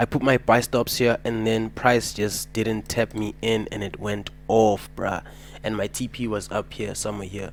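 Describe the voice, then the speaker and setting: The delivery is monotone and flat, on a very clean recording with a silent background. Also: man, fairly low pitch for a man, moderate pace. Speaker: forex trading educator. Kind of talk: trading tutorial. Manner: casual slangy.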